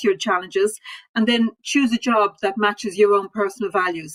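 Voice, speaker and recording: She speaks at a medium pitch with an Irish accent and fairly even intonation. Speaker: civil servant. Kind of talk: panel discussion.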